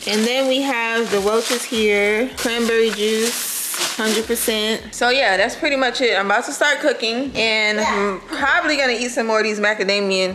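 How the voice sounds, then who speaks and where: A woman at a moderate pace with fairly even intonation and very even loudness, amid noticeable background noise. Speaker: family vlogger. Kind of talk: casual vlog chat. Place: kitchen. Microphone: phone near.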